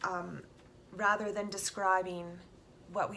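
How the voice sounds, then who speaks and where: A woman speaks at medium pitch in a monotone with flat intonation. Noticeable background noise and audible room echo surround her. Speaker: self-help vlogger. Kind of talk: casual talk. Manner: halting, repeats words; many fillers.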